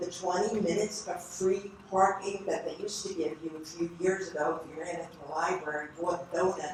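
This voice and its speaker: With fairly even intonation, a woman speaks in a space with audible room echo. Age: 70s. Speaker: public commenter. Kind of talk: public comment at planning board meeting. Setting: township planning board meeting.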